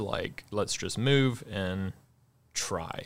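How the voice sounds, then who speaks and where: Speaking very slowly, a man with an American accent shows ordinary pitch variation. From US South, Mississippi. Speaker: coffee shop co-owner. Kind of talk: interview.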